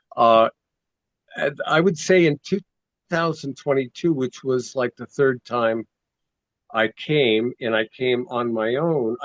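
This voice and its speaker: A man with an American accent speaks very slowly at medium pitch, with ordinary pitch variation and long, frequent pauses, in a dry, close sound with no echo. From United States. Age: 70s. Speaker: Vietnam veteran and activist. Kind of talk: podcast interview answer.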